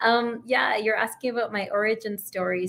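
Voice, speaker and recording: A woman with a Canadian accent talks at a fairly quick pace in fairly high pitch. Hers is an ordinary speaking voice with fairly even intonation. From Canada. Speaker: physician and astronaut candidate. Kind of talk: interview.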